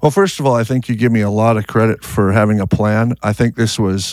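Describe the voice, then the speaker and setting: A man speaks in a normal speaking voice with an American accent, medium pitch and ordinary pitch variation. The sound is dry and close with no echo, on a very clean recording with a silent background. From US Upper Midwest, North Dakota. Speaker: auto repair shop owner. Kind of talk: interview.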